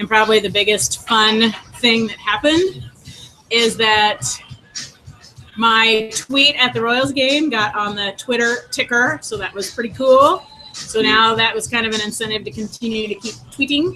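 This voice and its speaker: With music playing in the background, a woman speaks at a moderate pace in a fairly high pitch with ordinary pitch variation. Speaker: educator presenting to teachers. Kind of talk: short presentation in group video call.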